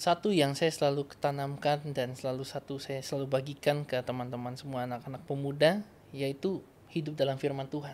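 Speaking at a fairly quick pace, a man with a fairly high pitch keeps his intonation fairly even over light background noise. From North Sulawesi, Indonesia; Indonesia. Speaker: evangelist. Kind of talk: interview testimony. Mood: warm, earnest. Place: studio. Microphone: studio mic.

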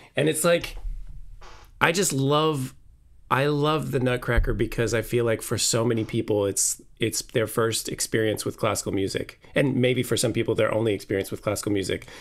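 The speaker is a man at a medium pitch. He talks at a moderate pace with ordinary pitch variation. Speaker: orchestral clarinetist. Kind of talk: casual chat. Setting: video call. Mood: warm, enthusiastic. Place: home room.

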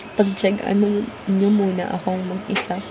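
Over noticeable background noise, a woman speaks at a fairly slow pace. Her delivery is monotone and flat, with a tired tone. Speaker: vlogger. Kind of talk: casual vlog chat. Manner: low, tired bedside voice. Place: home room. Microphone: phone near.

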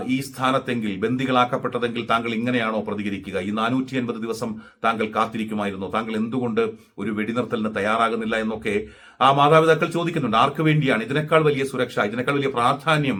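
The voice belongs to a man, medium in pitch with ordinary pitch variation. His tone is bright and sharp. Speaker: news commentator. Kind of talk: news commentary monologue.

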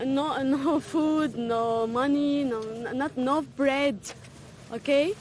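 Over noticeable background noise, the speech runs at a very slow pace with fairly even intonation. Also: woman, high pitch for a woman. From Syria. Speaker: refugee and English teacher. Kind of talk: street interview. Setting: outdoors at a border camp. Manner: emphatic, urgent.

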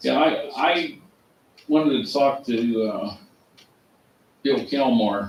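Audible room echo surrounds a man's fairly high voice, which moves with ordinary pitch variation. He speaks at a very slow pace, leaving long, frequent pauses. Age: 60s. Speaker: township resident attending meeting. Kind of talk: casual chat. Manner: halting.

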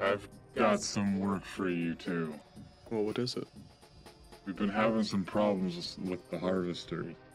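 Putting on a character voice, a man with a fairly low pitch speaks at a moderate pace with long, frequent pauses against clear background noise. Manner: brisk, impatient.

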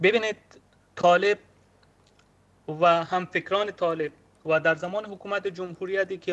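A man speaks with a high pitch. His intonation stays fairly even. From Afghanistan. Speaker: LGBTQ rights activist; remote guest. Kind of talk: speech. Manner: impassioned. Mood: earnest, somber. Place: home room. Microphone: video call.

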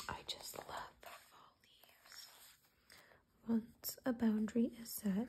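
A soft-spoken, somewhat breathy voice with a dark, mellow tone and monotone, flat intonation. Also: woman. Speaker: ASMR creator. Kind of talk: ASMR magazine reading.

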